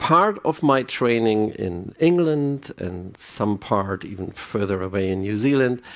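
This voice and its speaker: In a German accent, a man talks at a fairly slow pace and medium pitch with very wide pitch swings, captured in a very clean recording with a silent background. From Germany. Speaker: psychiatrist. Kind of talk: conference talk. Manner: halting, with repetitions.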